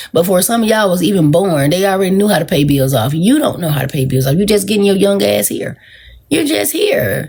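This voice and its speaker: The voice is animated and somewhat breathy, racing at a very fast pace with very wide pitch swings. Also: woman, medium pitch for a woman. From US South, Georgia. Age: 40s. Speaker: social media livestreamer. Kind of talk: casual livestream talk.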